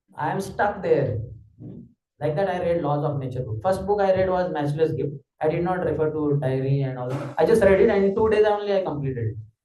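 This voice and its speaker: A man talks at a fairly quick pace with lively intonation and a fairly high pitch. There is audible room echo around his voice. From Maharashtra, India. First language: Marathi. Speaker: spiritual teacher. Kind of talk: lecture.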